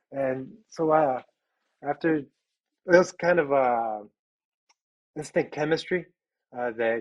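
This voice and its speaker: At a very slow pace, a man with an American accent speaks with ordinary pitch variation in a dry, close sound with no echo. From Chicago, Little Village neighborhood. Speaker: pastor. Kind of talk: casual interview.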